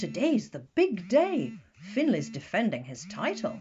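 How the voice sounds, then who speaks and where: At a moderate pace, a man performs a put-on character voice with a high pitch and a warm tone. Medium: read story. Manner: warm, fussing.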